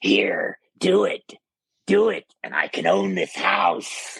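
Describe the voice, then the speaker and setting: A raspy, put-on character voice drawls along at a very slow pace. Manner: menacing, eyes wide, possessed.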